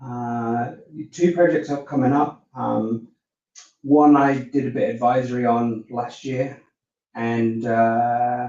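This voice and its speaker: A man's dark, mellow voice at a medium pitch, in an Australian accent, with fairly even intonation and a very slow pace. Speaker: IT consultant. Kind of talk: live panel discussion.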